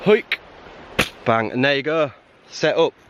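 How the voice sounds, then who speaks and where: Speaking at a moderate pace, a man talks with a North Yorkshire accent. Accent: Whitby (North Yorkshire). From Whitby, North Yorkshire, England. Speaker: bushcraft and wild camping YouTuber. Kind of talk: casual talk to camera.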